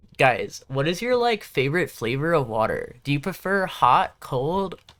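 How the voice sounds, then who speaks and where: The speaker has a Southern Californian accent. The pace is fairly slow. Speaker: gaming livestreamer. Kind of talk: casual livestream chat. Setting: live stream. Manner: casual, filler-heavy.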